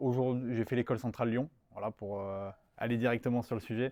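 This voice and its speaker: The sound is close and dry, without any echo. It's a man's voice. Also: very clean recording, silent background. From southern France, Nice area and Var. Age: 20s. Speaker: strategy consultant. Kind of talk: interview. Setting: studio. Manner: hesitant, many fillers and repetitions.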